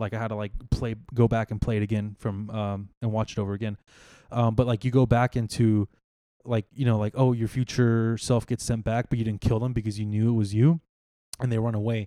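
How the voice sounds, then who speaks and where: A man's dark, mellow voice at medium pitch with monotone, flat intonation on a very clean recording with a silent background. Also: dry, close sound with no echo. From Texas, San Marcos. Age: 20s. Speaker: tech engineer. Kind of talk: casual chat.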